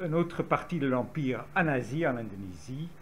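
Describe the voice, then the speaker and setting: A man with a Dutch accent, lively intonation, and audible room echo. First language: Dutch (speaking French). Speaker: historian. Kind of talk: lecture. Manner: halting.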